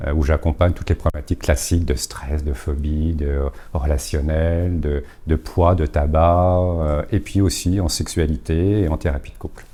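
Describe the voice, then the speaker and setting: Very deep, low male voice, its intonation fairly even. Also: fairly slow pace. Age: 60s. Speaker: therapist and coach, former bank executive. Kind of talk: talk to a live audience. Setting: conference room with audience. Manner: hesitant, with many fillers.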